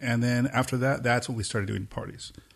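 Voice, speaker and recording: A man with a Southern Californian accent, fairly quick pace, quiet background. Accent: Southern California American. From US West Coast, Pomona, East Los Angeles. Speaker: techno producer and DJ. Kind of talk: casual interview chat.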